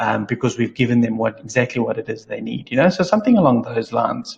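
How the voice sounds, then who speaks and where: A man speaks somewhat breathily and fairly quickly. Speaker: digital marketing trainer. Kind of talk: tutorial. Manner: monotone.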